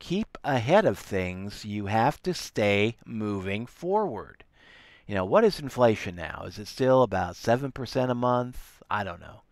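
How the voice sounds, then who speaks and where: On a very clean recording with a silent background, a man at a medium pitch speaks fairly slowly, with big swings in loudness. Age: 60s. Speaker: online entrepreneur and network marketer. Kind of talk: motivational talk. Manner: halting, with repeated words and fillers.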